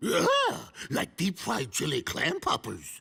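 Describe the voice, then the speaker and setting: Using a cartoonish character voice, a man speaks at a fairly slow pace. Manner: goofy, gravelly dog speech.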